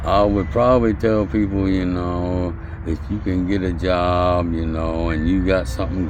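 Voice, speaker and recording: A man with an American accent speaks very slowly in a very deep, low pitch, his intonation lively. Audible room echo and noticeable background noise surround him. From US Midwest, Indiana (Hammond). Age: 60s. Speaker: homeless man. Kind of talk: interview.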